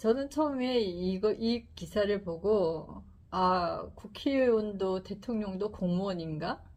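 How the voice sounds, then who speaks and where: At a very slow pace, a woman speaks in a medium pitch. Her tone is calm. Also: ordinary pitch variation. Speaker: YouTuber presenting books. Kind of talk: book talk to camera. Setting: filming a video. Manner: slow, calm speech; stiff, like reading a newspaper.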